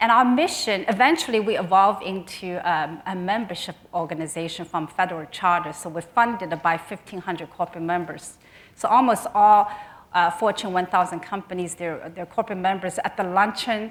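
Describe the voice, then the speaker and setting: A woman with a Chinese accent speaks fairly quickly at medium pitch with ordinary pitch variation. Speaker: nonprofit executive. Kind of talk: conference speech. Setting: stage with audience. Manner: halting.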